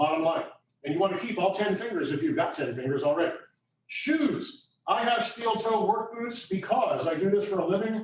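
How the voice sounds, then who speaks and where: A loud man with a high voice at a fairly quick pace, amid audible room echo. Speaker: landscape contractor. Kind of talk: hands-on workshop demonstration. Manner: fast.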